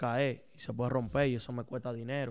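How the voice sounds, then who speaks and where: At a moderate pace, a man speaks with fairly even intonation against a quiet background. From Dominican Republic (Santo Domingo), later Boston. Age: 30s. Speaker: nightclub owner; interview guest. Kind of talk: interview. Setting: at the guest's home. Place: studio. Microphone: studio mic.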